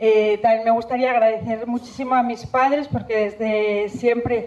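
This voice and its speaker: A woman with a strong Spanish accent, fairly high-pitched and monotone with flat intonation, at a moderate pace amid noticeable background noise. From Spain, Zamora province. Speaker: environmental scientist giving a talk. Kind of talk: public talk. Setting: stage with audience. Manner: halting.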